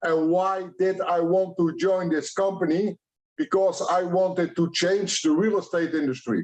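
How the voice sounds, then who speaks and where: A man with a Dutch accent speaks at a high pitch for a man. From Netherlands. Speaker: franchise expert. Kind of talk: conference presentation. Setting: online event.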